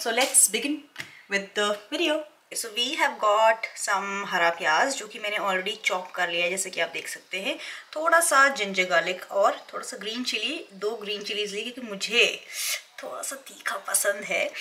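Amid light background noise, a woman speaks at a fairly slow pace with lively intonation and big swings in loudness. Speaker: home cooking vlogger. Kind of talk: casual vlog chat. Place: kitchen. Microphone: phone near.

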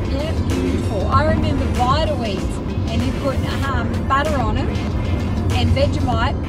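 Moderate pace against loud music in the background. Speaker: travel vlogger. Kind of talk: casual vlog chat. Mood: cheerful, relaxed. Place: car. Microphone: phone near.

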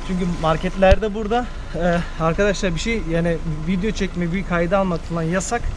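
A man with a high voice talks at a fairly quick pace and fairly even intonation over noticeable background noise. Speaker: vlogger. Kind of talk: casual vlog chat. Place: street. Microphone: camera far.

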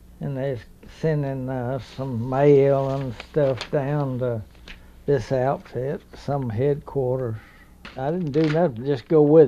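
Speaking very slowly in a Southern US accent, the voice has a dark, mellow tone and fairly even intonation. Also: man, medium pitch for a man. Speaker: war veteran. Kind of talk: interview answer.

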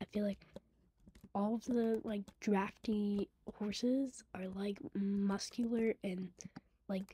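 A quiet woman speaks at a very slow pace, with long, frequent pauses. Her medium-pitched voice is somewhat breathy, with a dark, mellow tone and fairly even intonation. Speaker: gaming vlogger. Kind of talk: casual chat.

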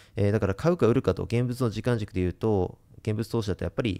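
A man speaks with a fairly low pitch and a dark, mellow tone. His pitch varies in an ordinary way over a quiet background. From Japan. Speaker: investment YouTuber. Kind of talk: monologue to camera; casual explanatory talk to camera. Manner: many filler sounds. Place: home room. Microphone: studio mic.

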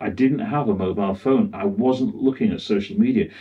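Against a quiet background, a man's fairly high, somewhat breathy voice swings very widely in pitch. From UK. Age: 60s. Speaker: cinematographer; interview guest. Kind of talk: interview; interview answer. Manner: halting. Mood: reflective, candid. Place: home room.

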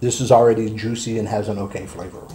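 A man speaks at a fairly quick pace in a flat monotone. Light background noise sits behind him. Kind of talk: casual vlog chat. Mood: amused, disgusted by smell. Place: home room.

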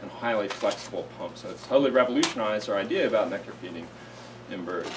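Over noticeable background noise, the speaker goes at a very fast pace with ordinary pitch variation. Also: man. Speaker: host introducing a seminar speaker. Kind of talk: speaker introduction. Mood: warm and jokey. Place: classroom. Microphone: camera far.

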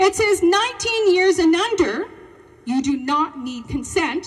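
A woman speaks in a passionate tone against a quiet background. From Canada. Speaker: teacher and protest speaker. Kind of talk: protest speech to a rally crowd. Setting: outdoor rally with crowd. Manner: passionate, forceful, rallying and confrontational; call-and-response, asks the crowd questions. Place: open country.

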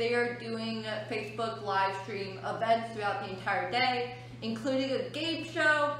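With audible room echo and light background noise behind her, a woman speaks at a fairly slow pace. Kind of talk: educational talk to children. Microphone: phone near.

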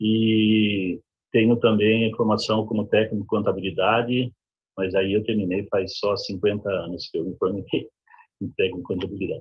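Against a quiet background, the speech moves at a moderate pace with monotone, flat intonation. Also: man, fairly low pitch for a man. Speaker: professional council representative. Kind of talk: webinar talk. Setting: video call. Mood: friendly, self-deprecating humor. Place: home room. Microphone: video call.

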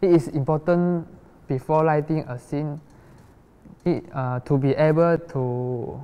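A man speaks at a very slow pace with a dark, mellow tone. His intonation is fairly even. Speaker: lecturer in a student film. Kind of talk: lecture. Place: classroom.

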